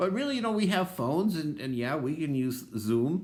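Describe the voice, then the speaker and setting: A man with an American accent and very wide pitch swings. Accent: Minnesota accent, disputed by him. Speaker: pastor. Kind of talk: devotional talk. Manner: casual, many filler ums.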